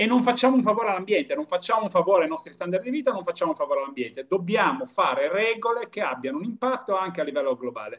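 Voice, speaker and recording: A man talks very fast in a high voice with huge pitch swings and almost no pauses against a quiet background. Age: 50s. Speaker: European Commission official; speaker. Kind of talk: panel discussion. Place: home room. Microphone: webcam.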